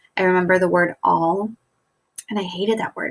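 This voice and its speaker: A woman with an American accent speaks at a moderate pace. The sound is dry and close, with no echo. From US, Bulgarian immigrant family. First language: Bulgarian. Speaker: teacher. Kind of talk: recorded presentation. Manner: casual, with fillers.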